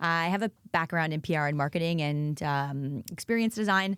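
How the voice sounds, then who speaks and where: A woman with an American accent and an unremarkable speaking voice talks at a fairly low pitch with ordinary pitch variation, in a very clean recording with a silent background. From United States. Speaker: workplace culture consultant. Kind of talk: podcast interview.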